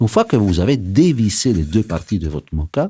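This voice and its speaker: A somewhat breathy voice with a dark, mellow tone and very wide pitch swings, at a moderate pace, in dry, close sound with no echo. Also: man. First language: Italian (speaking French). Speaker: barista. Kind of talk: scripted narration. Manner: lively.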